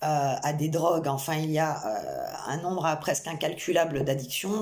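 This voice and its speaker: A woman speaks with a fairly low pitch and ordinary pitch variation. Room echo is audible, and background noise is noticeable. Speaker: psychic medium. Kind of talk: channelled tarot reading. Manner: hesitant, many fillers.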